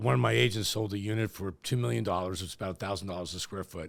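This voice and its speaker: A man's very deep, low voice with vocal fry, lively intonation, and a very fast pace, on a very clean recording with a silent background. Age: 60s. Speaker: real estate executive. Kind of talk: podcast interview.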